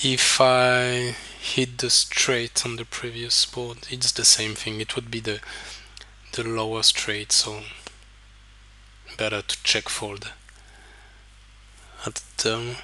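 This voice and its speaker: Pausing long and often, a man speaks in a flat monotone at a medium pitch. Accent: non-native. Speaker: poker coach. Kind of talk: tutorial. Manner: hesitant, many fillers.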